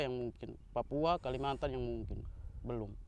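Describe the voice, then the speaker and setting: A man speaks at a fairly quick pace. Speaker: motorcycle club leader. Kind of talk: casual interview. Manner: halting.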